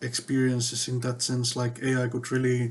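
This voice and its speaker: A man talks in a flat monotone with a somewhat breathy voice. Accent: non-native. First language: not English. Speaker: tech vlogger. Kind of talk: casual monologue. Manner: hesitant, many fillers.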